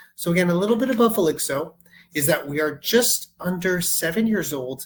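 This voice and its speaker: In a Canadian accent, a man talks at a moderate pace with ordinary pitch variation and a plain, everyday voice. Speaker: software sales executive. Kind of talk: product demo webinar. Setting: online webinar call.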